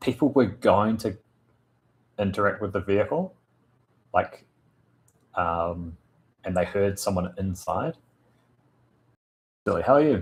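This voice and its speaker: A man with a New Zealand accent speaks at a fairly low pitch, somewhat breathy, with ordinary pitch variation. His pace is fairly slow, broken by long, frequent pauses. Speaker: tabletop RPG game master streamer. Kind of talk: casual live stream chat with viewers. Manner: halting, many fillers.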